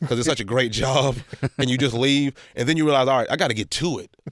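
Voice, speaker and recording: With ordinary pitch variation, a normal speaking voice carries along at a fairly quick pace. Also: man. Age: 30s. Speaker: comedian. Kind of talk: casual chat.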